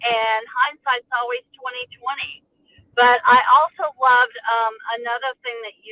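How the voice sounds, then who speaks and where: At a fairly slow pace, a woman speaks in a normal speaking voice, fairly high in pitch with ordinary pitch variation. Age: 60s. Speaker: retired healthcare worker. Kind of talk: panel discussion.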